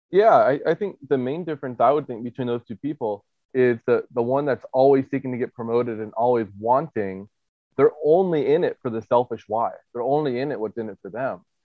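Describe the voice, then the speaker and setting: Fairly quick pace and ordinary pitch variation in a normal speaking voice. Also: man, medium pitch for a man. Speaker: podcast host and chiropractor. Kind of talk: casual interview.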